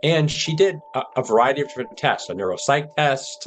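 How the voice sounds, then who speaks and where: A man's lively intonation and fairly quick pace come through noticeable background noise. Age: 60s. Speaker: patient with early-onset Alzheimer's. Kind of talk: personal testimony.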